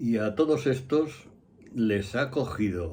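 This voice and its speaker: A man's medium-pitched, dark, mellow voice with lively intonation at a very slow pace, plus audible room echo. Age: 70s. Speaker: astrologer. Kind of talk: casual monologue.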